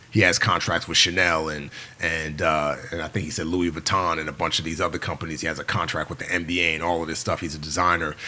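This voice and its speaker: Delivered in a New York accent, the speech is animated and very fast, with hardly any pauses. Noticeable background noise sits underneath. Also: man, very deep, low pitch for a man. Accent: New York American English. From New York City, the Bronx. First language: Yoruba. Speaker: former navy SEAL and filmmaker. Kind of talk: casual interview chat. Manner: animated, fast with many fillers.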